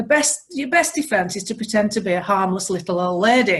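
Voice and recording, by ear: A woman's medium-pitched, fairly bright voice with a slightly husky edge, a fairly quick pace and lively intonation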